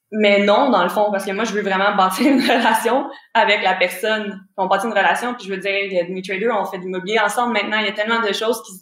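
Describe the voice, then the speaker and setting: With a medium pitch, a woman talks at a very fast pace with fairly even intonation. There is audible room echo. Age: 20s. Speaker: forex trader and real estate investor. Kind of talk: casual interview chat. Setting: remote call.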